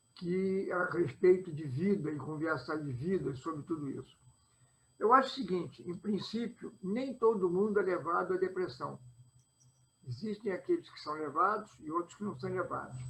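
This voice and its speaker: A man talks at a moderate pace in a high voice with lively intonation. His loudness swings widely. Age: 80s+. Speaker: lawyer, participant in spiritist discussion. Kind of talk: panel discussion. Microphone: microphone too quiet.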